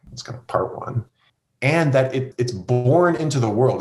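Somewhat breathy, the man's voice stays at a medium pitch. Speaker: seminary professor and pastor. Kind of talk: interview conversation.

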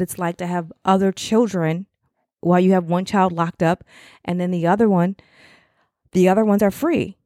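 At a moderate pace, the voice sounds dry and close with no echo on a very clean recording with a silent background. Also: woman. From Chicago area, US Midwest. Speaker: podcast host, mother of an incarcerated son. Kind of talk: casual monologue podcast, encouraging talk. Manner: conversational, with fillers and self-corrections.

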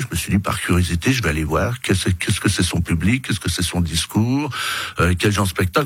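A man speaks very fast in a very deep, low voice. Noticeable background noise is present. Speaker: politician, election candidate. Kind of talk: radio interview. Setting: radio studio. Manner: loud.

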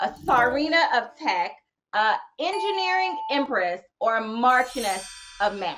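Over music in the background, a woman speaks at a fairly slow pace with an American accent. Her pitch is high and swings very widely. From United States. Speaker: web series host. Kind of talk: interview. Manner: animated.

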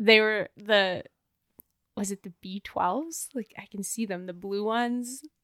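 With a Canadian accent and an ordinary speaking voice, a woman talks at a fairly slow pace in a fairly high pitch, with ordinary pitch variation, big swings in loudness, and a dry, close sound with no echo. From Canada, Banff, Alberta. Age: 30s. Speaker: professional skier. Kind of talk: casual chat. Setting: in person, Whistler.

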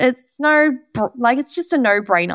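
High-pitched and animated, a woman speaks at a moderate pace with lively intonation. The recording is very clean, with a silent background and a dry, close sound with no echo. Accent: Australian. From Australia. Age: 20s. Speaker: skin therapist and business coach podcaster. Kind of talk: solo podcast monologue. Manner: chatty, animated.

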